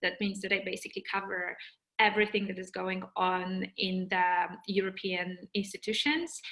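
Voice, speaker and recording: A woman speaks in a Polish accent at a medium pitch. Her intonation is monotone and flat. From Poland. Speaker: journalist. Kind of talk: webinar talk. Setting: video call. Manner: halting, with fillers and repetitions.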